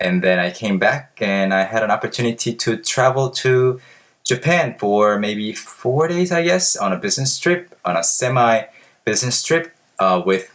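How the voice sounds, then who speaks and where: Speaking in a Korean accent, a man uses lively intonation at medium pitch and a moderate pace. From South Korea. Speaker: language learning vlogger. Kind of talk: casual vlog. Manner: hesitant with fillers.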